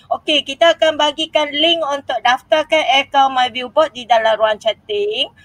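A woman's high voice, fairly slow with hardly any pauses and ordinary pitch variation, dry and close with no echo. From Malaysia, Manjung, Perak. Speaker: primary school teacher and YouTuber. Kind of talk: tutorial.

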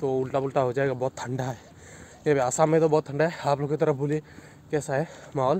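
A man with a dark, mellow tone speaks at a moderate pace in a monotone, flat intonation, the sound dry with no echo over light background noise. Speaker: motovlogger. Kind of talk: casual vlog chat. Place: street. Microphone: phone near.

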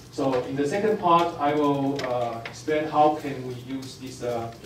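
Ordinary pitch variation is heard with audible room echo and noticeable background noise. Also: man. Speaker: physics professor. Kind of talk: lecture. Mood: light humor. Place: hall.

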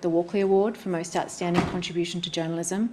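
A woman's monotone, flat delivery over light background noise. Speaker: speaker, lawyer. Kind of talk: formal speech. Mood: earnest, grave. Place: hall. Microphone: camera far.

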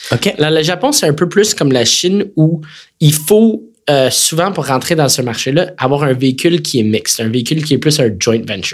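A man's fairly high-pitched voice in a Quebec accent, with lively intonation and a moderate pace. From Quebec City, Quebec. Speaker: tech company executive. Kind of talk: interview conversation.

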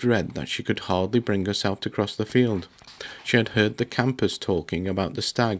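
Unforced voice for reading aloud.

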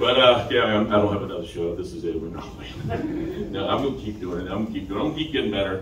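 A man's fairly low voice at a very fast pace, lively in intonation, with hardly any pauses and noticeable background noise. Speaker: stand-up comedian. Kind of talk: stand-up comedy set, first open mic, crude jokes. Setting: stage with audience. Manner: nervous, halting, filler-heavy, self-deprecating; casual, profane, off-the-cuff delivery. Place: stage.

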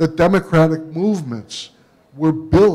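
This man's voice sits fairly high and keeps a fairly even intonation. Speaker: media studies professor; panel lecturer, professor. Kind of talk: lecture.

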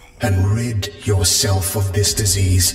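There is a slight echo around this man's fairly low voice. His tone is calm and menacing, with fairly even intonation. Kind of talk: horror villain monologue. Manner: calm, polite, menacing.

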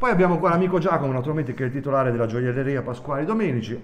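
Ordinary pitch variation marks this man's speech, heard with audible room echo. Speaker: channel host. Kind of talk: casual vlog chat. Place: shop. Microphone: phone near.

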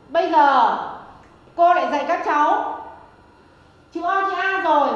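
Audible room echo surrounds a woman as she speaks. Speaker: teacher in comedy sketch. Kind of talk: acted comedy dialogue. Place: classroom.

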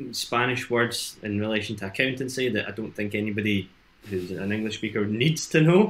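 The pitch variation is ordinary. The pace is fairly quick. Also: man. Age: 20s. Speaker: entrepreneur in education and training; interview guest. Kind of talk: casual chat. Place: home room.

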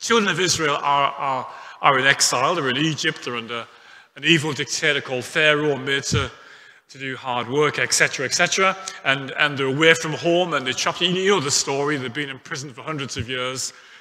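Moving at a fairly quick pace, a man talks with ordinary pitch variation and big swings in loudness. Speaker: pastor. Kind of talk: sermon. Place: church. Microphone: headset.

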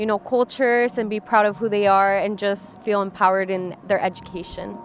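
A woman talks at a fairly quick pace in a monotone, flat intonation. The sound is dry with no echo, over light background noise. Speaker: university multicultural programs staff member. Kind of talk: halftime interview, explaining programs. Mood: warm, upbeat, smiling. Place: stadium. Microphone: handheld.

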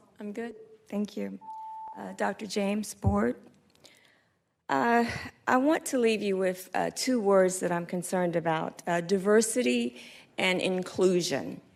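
In a Southern US accent, a woman of medium pitch speaks fairly slowly with lively intonation and long, frequent pauses. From North Carolina, Statesville. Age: 60s. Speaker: retired teacher, public commenter. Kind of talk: public comment speech. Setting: board meeting room. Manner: hesitant with fillers.

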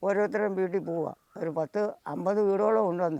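Speaking in a high voice, a man keeps his intonation fairly even. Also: dry, close sound with no echo. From Kerala, Kollam district (Kottarakkara). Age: 70s. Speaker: farm worker and cyclist. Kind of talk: interview, personal storytelling.

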